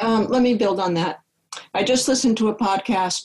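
A woman speaks with a Midwestern American accent. Her voice is somewhat breathy, at a moderate pace. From US Midwest. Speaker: software engineer and long-distance hiker. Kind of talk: podcast interview.

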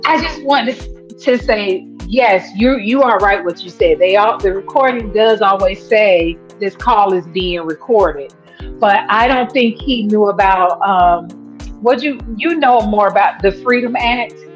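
A woman talks at a fairly slow pace while faint music plays in the background. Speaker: guest. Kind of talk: casual conversation. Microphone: video call.

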